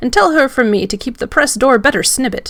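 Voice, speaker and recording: Using a put-on character voice, a woman growls at a high pitch and a fairly quick pace. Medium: read story. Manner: cryptic.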